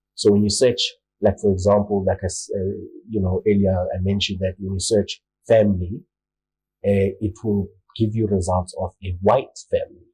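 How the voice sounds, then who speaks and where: A man with a Zulu accent and a fairly low pitch speaks somewhat breathily in a dark, mellow tone, with monotone, flat intonation and long, frequent pauses, in a dry, close sound with no echo. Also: moderate pace. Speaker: marketing lecturer. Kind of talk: panel discussion. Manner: hesitant with many fillers.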